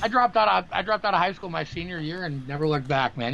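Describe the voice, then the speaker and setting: This man has an American accent and a high pitch. He talks very fast with lively intonation. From Wisconsin, Green Bay. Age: 40s. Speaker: music industry executive. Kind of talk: casual chat.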